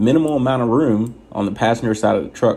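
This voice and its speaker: A soft-spoken man talks with vocal fry and ordinary pitch variation. His tone is dark and mellow. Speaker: truck driver trainer. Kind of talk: tutorial. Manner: soft-spoken, quiet inside voice.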